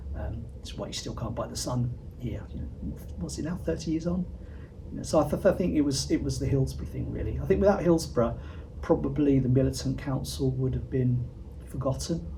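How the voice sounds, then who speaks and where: A man speaks fairly quickly, and audible echo from the room is heard around him. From southern England. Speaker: interviewee commentator. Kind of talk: interview.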